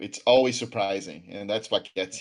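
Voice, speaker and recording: A man speaks with a Brazilian accent and ordinary pitch variation. The background is quiet. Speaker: card game tournament commentator. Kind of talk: live commentary.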